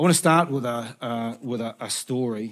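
With a New Zealand accent, a man talks at a moderate pace and medium pitch with ordinary pitch variation, in a very clean recording with a silent background. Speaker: guest preacher. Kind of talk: sermon. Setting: church.

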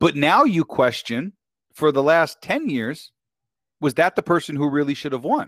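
With a New York accent and an animated tone, a man with a fairly high pitch speaks at a moderate pace with ordinary pitch variation, recorded dry and close with no echo. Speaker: author and podcaster. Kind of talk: casual chat. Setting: online call. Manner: loud.

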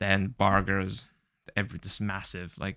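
With a Japanese accent, the speaker talks at a fairly slow pace in a monotone, flat intonation and a bright, sharp tone. The recording is very clean with a silent background, and the sound is dry and close with no echo. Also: man. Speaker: podcast co-host. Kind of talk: casual chat.

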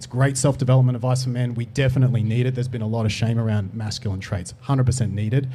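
Very fast speech comes from a man with an Australian accent. He holds a medium pitch and fairly even intonation. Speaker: dating coach. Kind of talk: panel discussion. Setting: studio.

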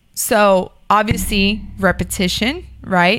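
In an American accent, a woman with a medium-pitched, bright, sharp tone comes through on a very clean recording with a silent background. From Miami, Florida. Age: 30s. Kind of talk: casual chat.

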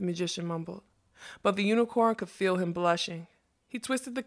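Plain reading aloud with ordinary pitch variation comes over a quiet background.

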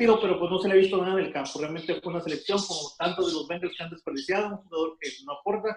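Pitched high, a man talks with normal rises and falls in his pitch. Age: 40s. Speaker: football fan guest. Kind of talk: casual sports chat.

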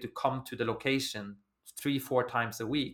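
A man with a Norwegian accent and fairly even intonation. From Norway. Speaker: recruitment agency founder. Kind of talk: interview. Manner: halting.

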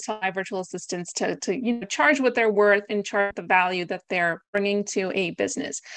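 This woman has a plain, everyday voice with an American accent and a medium pitch. Her intonation is lively. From US / Greece (Greek American). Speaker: virtual assistant business founder. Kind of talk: interview conversation. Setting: video call.

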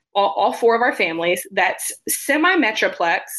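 Her voice is fairly high in pitch, with very wide swings. The woman speaks at a moderate pace. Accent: Texan. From West Texas (small rural town). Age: 20s. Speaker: behavior analyst and consultant. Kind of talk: interview, personal story.

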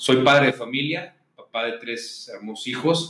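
The pace is fairly slow as a man talks, his pitch varying in an ordinary way. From Mexico, Guadalajara, Jalisco. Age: 40s. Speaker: business chamber president. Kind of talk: interview. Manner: hesitant, with fillers.

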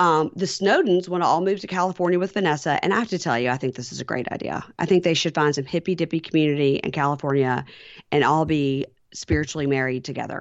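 A woman talks at a very fast pace with a Southern US accent. Her pitch is very deep and low, with ordinary variation. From Mississippi, US South. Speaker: podcaster, reality TV recapper. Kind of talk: casual chat.

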